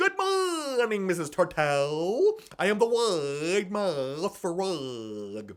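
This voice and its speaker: A man puts on a character voice with a high pitch. He speaks at a very slow pace. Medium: read story. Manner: cheery, wide-mouthed.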